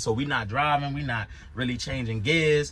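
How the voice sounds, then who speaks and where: A man with an American accent and a fairly high pitch speaks in an animated tone with ordinary pitch variation, his voice carrying audible room echo. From Baltimore, Maryland. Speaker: YouTuber reviewing his truck driving school. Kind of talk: casual monologue review.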